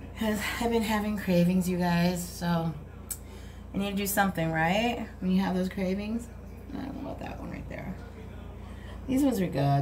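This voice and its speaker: Moderate delivery from a woman, noticeable noise in the background. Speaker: YouTuber, former prison inmate; vlogger. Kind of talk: casual tutorial vlog. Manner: chatty, informal. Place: home room. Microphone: phone near.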